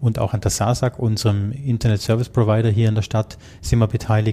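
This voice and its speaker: Speaking at a fairly quick pace, a man with a medium-pitched, dark and mellow voice sounds somewhat breathy, his intonation monotone and flat. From Germany. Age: 50s. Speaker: IT security manager. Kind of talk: interview.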